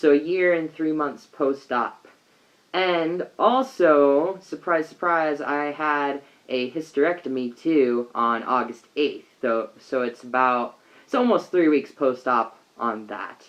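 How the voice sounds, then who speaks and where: A man speaks very slowly in a fairly high voice, with ordinary pitch variation. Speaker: vlogger. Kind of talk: video diary. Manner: casual, hesitant.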